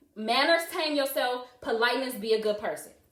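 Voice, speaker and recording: A woman with a high pitch talks at a moderate pace in an animated, passionate tone with ordinary pitch variation. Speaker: live-stream host discussing parenting. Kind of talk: live stream monologue answering comments. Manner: loud.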